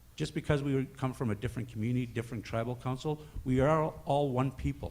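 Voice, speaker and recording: A man's somewhat breathy voice at medium pitch, very fast pace and ordinary pitch variation. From Northern Ontario First Nation. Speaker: First Nations health worker. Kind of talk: conference speech.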